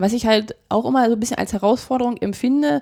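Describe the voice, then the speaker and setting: A woman speaks at a fairly high pitch in a dark, mellow tone. The sound is dry and close with no echo, on a very clean recording with a silent background. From Brandenburg, Uckermark (Prenzlau, Templin). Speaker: regional association founder. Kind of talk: interview. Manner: halting.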